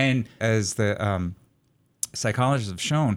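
In an American accent, a man uses an ordinary speaking voice at medium pitch with ordinary pitch variation and a moderate pace, on a very clean recording with a silent background. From New York City area. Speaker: psychology professor. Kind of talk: interview, explanatory.

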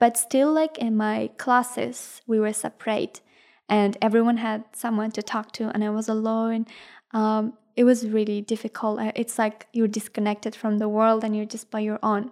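A woman with an Afghan accent, fairly high in pitch, at a moderate pace and in a monotone, flat intonation, in a very clean recording with a silent background. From Afghanistan. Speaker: university student and refugee. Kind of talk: personal testimony interview. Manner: hesitant, many filler ums.

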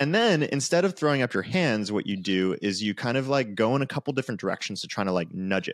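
A man talking very fast with lively intonation, dry and close with no echo, on a very clean recording with a silent background. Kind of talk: casual interview chat.

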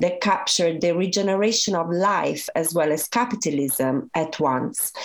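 A woman with a fairly low pitch speaks at a fairly slow pace, with lively intonation. Noticeable background noise runs underneath. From Italy. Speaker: professor. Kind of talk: interview answers, academic explanation.

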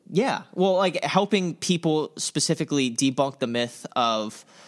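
A man's plain, everyday voice with an American accent, lively intonation and a moderate pace, on a very clean recording with a silent background. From US South, Tampa, Florida. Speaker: church intern and podcast co-host, college student. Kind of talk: casual chat.

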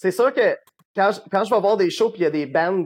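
His pitch swinging very widely, a man speaks at a moderate pace. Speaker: rock musician. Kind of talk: interview.

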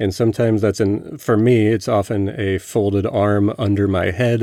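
Against a silent background in a very clean recording, a man speaks at a moderate pace. His voice has a dark, mellow tone, a fairly low pitch and fairly even intonation. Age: 40s. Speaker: podcast host's husband. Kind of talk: casual chat.

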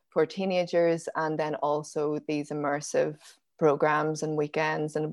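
With a Northern Irish accent, a woman speaks at a very deep, low pitch. Her delivery is fairly slow, with monotone, flat intonation. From Northern Ireland, Belfast and County Down. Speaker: forager and nature educator. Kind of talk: interview conversation.

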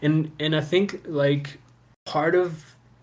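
Somewhat breathy, a man talks with an American accent. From US, Houston Texas and Maryland (PG County), Salvadoran parents. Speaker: actor and fatherhood program worker. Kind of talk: casual interview chat.

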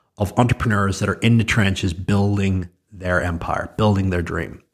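A man with a Northern Irish accent, fairly low in pitch, fairly even in intonation and moderate in pace, on a very clean recording with a silent background. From Northern Ireland. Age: 30s. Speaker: entrepreneur and podcast host. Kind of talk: solo monologue.

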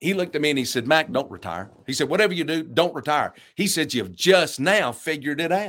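A man speaks at a moderate pace with vocal fry, lively intonation and a fairly high pitch, on a very clean recording with a silent background. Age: 60s. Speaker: pastor. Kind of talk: interview conversation.

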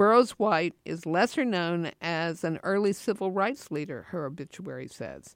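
A woman with an American accent speaks in a plain, everyday voice, fairly low-pitched, at a moderate pace with lively intonation. The recording is very clean, with a silent background. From US South, Asheville, North Carolina. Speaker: podcast host. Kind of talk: personal storytelling narration.

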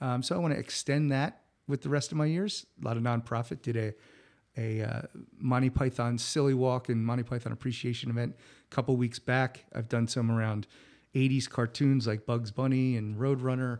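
Recorded very cleanly against a silent background, a man with an unremarkable speaking voice talks at a fairly quick pace, medium in pitch, with fairly even intonation. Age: 50s. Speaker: podcast host. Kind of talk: solo monologue. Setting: home studio.

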